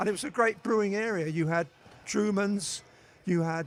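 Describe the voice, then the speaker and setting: A man with a London accent. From East London. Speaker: beer writer. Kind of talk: interview. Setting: stage with audience.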